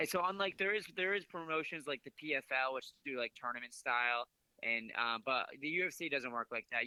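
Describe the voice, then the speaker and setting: A man with an American accent speaks at a fairly quick pace in an ordinary speaking voice, his pitch fairly high for a man and its variation ordinary. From southeastern Massachusetts. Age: 20s. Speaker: MMA fighter. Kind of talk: interview. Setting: phone call.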